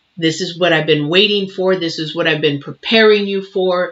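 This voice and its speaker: A woman's voice, fairly even in intonation. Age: 60s. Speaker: tarot reader. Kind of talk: tarot reading. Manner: halting.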